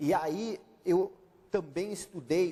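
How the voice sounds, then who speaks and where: The voice is somewhat breathy, with a German accent. Its intonation is lively. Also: man. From Brazil, German-speaking family. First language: German (speaking Portuguese). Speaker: author and consultant. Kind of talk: interview.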